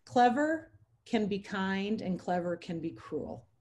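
A woman speaks with a dark, mellow tone, somewhat breathy, with ordinary pitch variation. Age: 50s. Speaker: podcast co-host. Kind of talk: casual chat.

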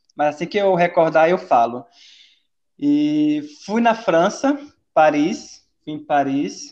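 Against a quiet background, a man with a fairly high voice speaks at a very slow pace, with long, frequent pauses. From Castanhal, Pará, Brazil. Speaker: former exchange student, social work. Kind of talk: casual interview.

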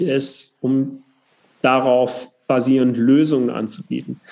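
Here a man speaks in a medium pitch. His tone is dark and mellow. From southern Germany, Upper Swabia. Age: 30s. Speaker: politician. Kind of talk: casual interview.

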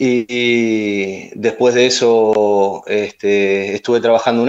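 With fairly even intonation, a man speaks at medium pitch. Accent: Argentine. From Argentina, Ensenada (Buenos Aires province). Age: 40s. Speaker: chef. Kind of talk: interview.

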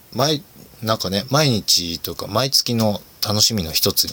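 Noticeable background noise runs behind a man as he speaks. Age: 30s. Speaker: podcast host. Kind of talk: casual solo talk. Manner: casual, frequent laughs and fillers.

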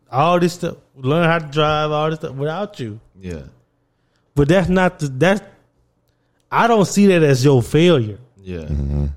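A man talks in a fairly high pitch. He leaves long, frequent pauses. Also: lively intonation. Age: 20s. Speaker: podcast host. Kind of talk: casual chat.

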